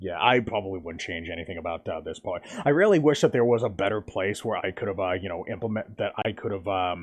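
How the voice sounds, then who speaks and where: A man with a fairly low voice talks at a very fast pace, hardly pausing at all. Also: ordinary pitch variation. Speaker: gaming streamer. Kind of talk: live stream commentary. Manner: halting, many fillers.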